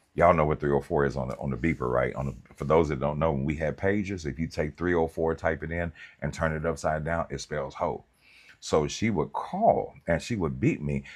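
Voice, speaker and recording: A man with a very deep, low voice and vocal fry speaks at a fairly quick pace. His pitch varies in an ordinary way over a quiet background. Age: 50s. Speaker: pastor and counselor. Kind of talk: livestream talk.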